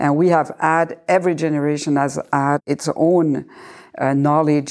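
A woman with a very deep, low pitch speaks in a dark, mellow tone. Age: 60s. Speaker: medical director of fasting clinic. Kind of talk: casual chat.

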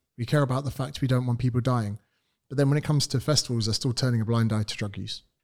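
A man with a British accent speaks very fast at a medium pitch. His intonation is fairly even, and the recording is very clean with a silent background. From United Kingdom. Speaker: personal trainer. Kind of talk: casual interview chat.

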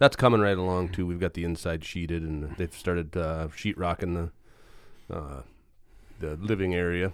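A man's very deep, low voice with an Upper Midwest accent and fairly even intonation, on a very clean recording with a silent background. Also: moderate pace. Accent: Upper Midwest (Minnesota). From Roseau, northern Minnesota. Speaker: podcast co-host, former Marine. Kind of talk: casual chat. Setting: studio.

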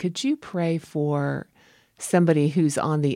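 Very deep and low in pitch, a woman talks at a moderate pace with fairly even intonation, her sound dry and close with no echo. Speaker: podcast host. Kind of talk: casual interview.

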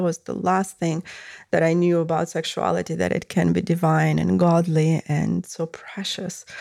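A woman talks at a fairly slow pace with a Russian accent. The recording is very clean, with a silent background. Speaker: podcast host and tantric body worker. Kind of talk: solo podcast monologue.

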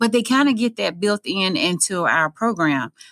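In a Southern US accent, a woman speaks at a moderate pace with an animated tone. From Mississippi. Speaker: school principal. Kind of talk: interview.

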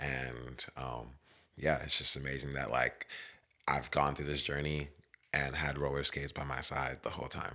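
A man with an American accent speaks at a moderate pace in a very deep, low voice with vocal fry. His intonation is monotone and flat. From West Virginia. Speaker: roller skater. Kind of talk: casual interview chat.

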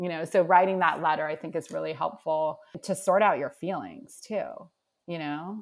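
A woman with a plain, everyday voice speaks at a moderate pace and fairly low pitch with ordinary pitch variation, on a very clean recording with a silent background. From Nova Scotia, Canada. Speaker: career and mindset coach. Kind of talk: casual interview chat.

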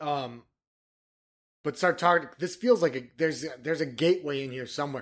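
Speaking with an American accent, a man talks at a fairly quick pace and fairly high pitch, with ordinary pitch variation. He leaves long, frequent pauses, and his loudness swings widely. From Michigan. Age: 30s. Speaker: podcast co-host. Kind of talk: casual chat.

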